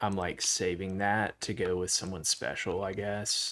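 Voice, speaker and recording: In a Southern US accent, a man speaks at a fairly slow pace with a very deep, low pitch, a bright, sharp tone, and monotone, flat intonation. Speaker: Minecraft livestreamer. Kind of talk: casual chat. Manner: halting.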